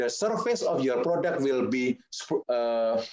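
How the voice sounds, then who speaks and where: In a dry, close sound with no echo, a man's dark, mellow voice moves through very wide pitch swings. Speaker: pastry chef. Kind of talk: cooking webinar presentation. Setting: online webinar. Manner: halting.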